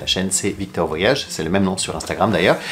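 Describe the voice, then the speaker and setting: At a very fast pace, a man speaks in a fairly low pitch over light background noise. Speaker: flight attendant travel vlogger. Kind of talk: casual vlog chat. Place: home room.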